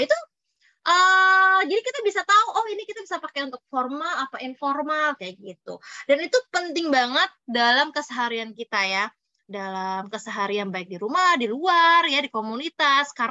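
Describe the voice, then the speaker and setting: A shrill, high-pitched woman at a moderate pace, with very wide pitch swings and big swings in loudness. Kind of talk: public-speaking instructional.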